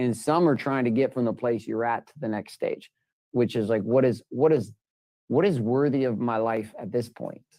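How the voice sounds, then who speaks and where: A man's medium-pitched voice, dark and mellow in tone, at a moderate pace with ordinary pitch variation. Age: 40s. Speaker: life coach. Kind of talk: one-on-one coaching call. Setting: video call. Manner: animated.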